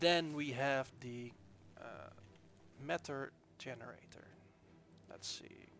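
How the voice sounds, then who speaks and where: With long, frequent pauses, a man talks at a very slow pace in a fairly high pitch, his pitch varying in an ordinary way. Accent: Dutch. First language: Dutch. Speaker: game developer. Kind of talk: gameplay tutorial. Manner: casual, hesitant with fillers.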